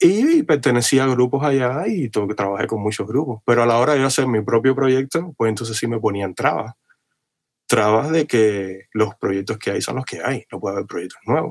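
Speaking at a moderate pace, a man uses a plain, everyday voice. His medium pitch shows ordinary pitch variation. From Cuba (Havana). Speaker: guitarist. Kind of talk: interview.

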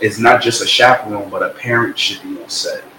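A man with an American accent talks very fast over noticeable background noise. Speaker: rapper and music artist. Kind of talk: casual interview chat.

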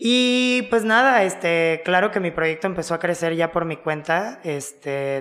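Her voice is fairly low for a woman, and she speaks at a fairly slow pace. It is an unremarkable speaking voice. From Mexico (Cancún). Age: 20s. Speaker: DJ and music producer. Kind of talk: casual chat.

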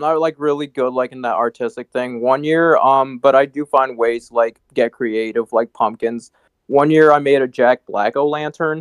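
A man with a plain, everyday voice speaks at a medium pitch with hardly any pauses. His intonation is fairly even, and the sound is dry and close with no echo. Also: moderate pace. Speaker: comedian. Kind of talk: casual chat.

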